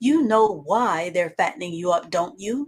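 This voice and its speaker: Putting on a character voice, a woman speaks at a moderate pace in a medium pitch. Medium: read story. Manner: blunt, matter-of-fact.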